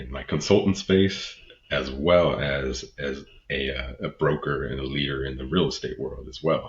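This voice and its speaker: A man's very deep, low voice with an American accent and vocal fry, ordinary pitch variation, at a fairly slow pace. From Texas. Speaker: podcast host, leadership consultant and real estate broker. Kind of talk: solo podcast monologue. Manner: halting, fumbling over words.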